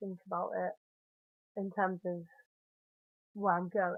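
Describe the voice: A woman with a Southern English accent speaks with ordinary pitch variation.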